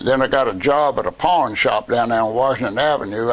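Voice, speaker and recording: Loud enough to notice, background noise sits behind a man speaking with a Virginia accent. He talks at a moderate pace with a medium pitch and ordinary pitch variation. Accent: Southern US (Virginia). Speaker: war veteran. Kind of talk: interview answer. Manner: casual, storytelling.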